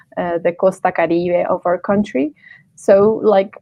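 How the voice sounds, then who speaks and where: The pace is fairly slow. The speaker has a Spanish accent. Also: woman. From Colombia. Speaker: stream host. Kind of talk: interview on live stream. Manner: halting.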